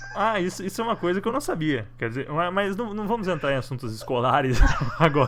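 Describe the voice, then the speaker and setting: Noticeable background noise under very fast talking with very wide pitch swings. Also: man, high pitch for a man. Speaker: online show host. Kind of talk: interview.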